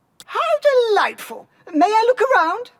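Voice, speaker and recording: A put-on character voice, squeaky and pitched extremely high. It moves at a moderate pace. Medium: video game. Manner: polite, earnest.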